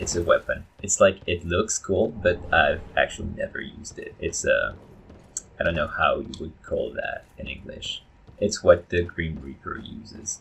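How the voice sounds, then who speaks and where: A man with a non-native accent at a moderate pace. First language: not English. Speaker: gaming YouTuber. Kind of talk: gameplay commentary. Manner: halting, many fillers.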